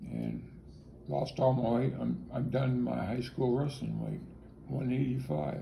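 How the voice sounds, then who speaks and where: This man speaks at a fairly slow pace. The room echo is audible, and background noise is noticeable. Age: 60s. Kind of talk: interview. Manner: halting.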